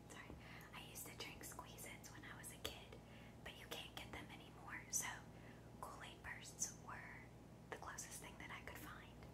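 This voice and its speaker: A soft-spoken woman whispers at a moderate pace with long, frequent pauses over loud background noise. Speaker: food vlogger. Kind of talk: casual vlog chat. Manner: soft whispered ASMR talk. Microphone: phone near.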